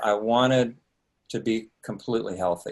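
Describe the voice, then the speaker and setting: At a moderate pace, a man talks in a medium pitch. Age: 60s. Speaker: author and speaker on mind and healing. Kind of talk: personal testimony to a group. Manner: halting, with many fillers.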